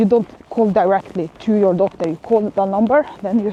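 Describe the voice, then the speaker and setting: Medium-pitched speech from a woman with a non-native accent, over noticeable background noise. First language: not English. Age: 40s. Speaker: vlogger. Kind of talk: casual vlog monologue. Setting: outdoors walking in the rain. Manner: halting, many fillers.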